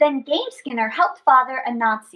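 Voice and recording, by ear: Her voice is high-pitched for a woman, with a bright, sharp tone and lively intonation.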